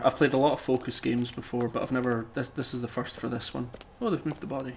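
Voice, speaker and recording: Very fast speech with a Scottish accent. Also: man. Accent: Scottish, sometimes taken for Irish. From Scotland. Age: 30s. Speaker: game streamer. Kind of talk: live stream chat and gameplay commentary. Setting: live stream. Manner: casual, halting with many fillers.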